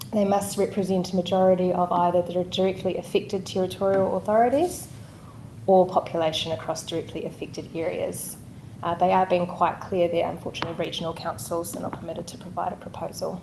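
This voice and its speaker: Soft-spoken, with a New Zealand accent, a woman talks at a very fast pace, medium in pitch and fairly even in intonation, with audible room echo. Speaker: local government director. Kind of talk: council meeting presentation.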